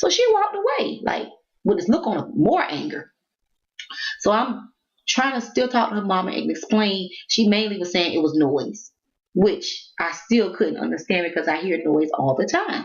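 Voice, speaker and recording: A woman talks loudly at a moderate pace, her voice showing vocal fry. Her medium pitch swings very widely. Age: 40s. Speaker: vlogger. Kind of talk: casual rant vlog.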